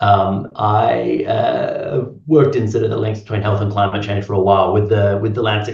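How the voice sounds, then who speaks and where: Speaking at a moderate pace with an Australian accent, a man with a fairly low pitch is heard with audible room echo. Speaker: health and climate professor. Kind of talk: panel discussion. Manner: halting.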